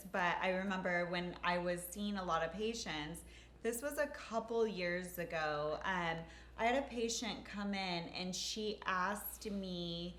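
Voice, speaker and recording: A woman with a medium pitch speaks at a fairly slow pace. Room echo is audible. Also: ordinary pitch variation. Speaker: nurse injector and co-host. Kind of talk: casual chat. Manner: halting.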